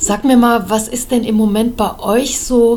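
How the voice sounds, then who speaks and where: The woman here speaks at a fairly slow pace. Noticeable background noise surrounds her. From Germany. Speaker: politician and podcast host. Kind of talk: interview.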